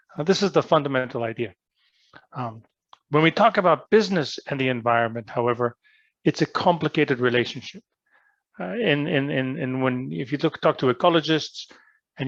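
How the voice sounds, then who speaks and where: Over a quiet background, with dry, close sound and no echo, a man with an ordinary speaking voice talks at a fairly quick pace and a fairly high pitch, using ordinary pitch variation. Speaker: business school professor. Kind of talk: lecture.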